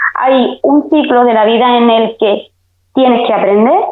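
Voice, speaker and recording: A woman speaking at a fairly slow pace. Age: 40s. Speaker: beauty technician. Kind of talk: casual chat.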